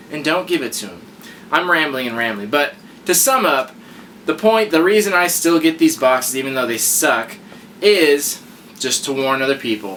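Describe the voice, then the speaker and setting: Fairly high male voice with very wide pitch swings at a moderate pace, over noticeable background noise. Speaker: YouTube unboxing reviewer. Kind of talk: casual vlog review. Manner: mumbling; stutter.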